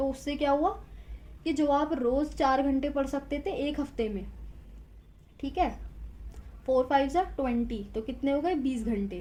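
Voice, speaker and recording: Pausing long and often, a woman speaks at a high pitch in a dark, mellow tone with ordinary pitch variation. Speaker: tarot reader. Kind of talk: tarot reading to camera. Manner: conversational, emphatic.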